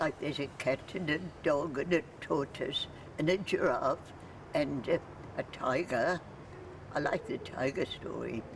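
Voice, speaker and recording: Woman speaking at a fairly slow pace with long, frequent pauses, amid noticeable background noise. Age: 80s+. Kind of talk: pre-recorded keynote talk.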